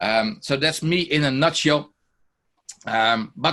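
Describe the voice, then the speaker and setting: In a bright, sharp tone, a man speaks with a Dutch accent. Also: quiet background. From Netherlands. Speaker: teacher and software trainer; teacher, software trainer. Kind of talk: online workshop presentation. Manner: many fillers, hesitant. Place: home room.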